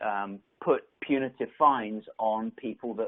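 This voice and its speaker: A man with an English accent. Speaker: tech company executive. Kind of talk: conference presentation. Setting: virtual event. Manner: halting, many fillers and repeats.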